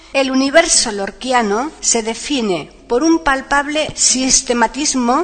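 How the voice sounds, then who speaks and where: Amid noticeable background noise, a woman with a high pitch speaks at a very slow pace with hardly any pauses and ordinary pitch variation. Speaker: podcast host. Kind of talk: scripted narration, introduction and biography reading.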